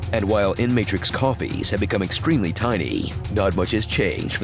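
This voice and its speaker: Over music in the background, a man with a fairly low voice talks at a moderate pace with ordinary pitch variation. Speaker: voice actor. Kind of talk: movie trailer parody narration.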